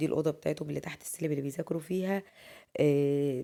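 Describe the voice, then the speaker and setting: Captured in a very clean recording with a silent background, a woman speaks at a very deep, low pitch with a dark, mellow tone. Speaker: lifestyle vlogger. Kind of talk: voice-over narration of daily routine video. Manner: casual.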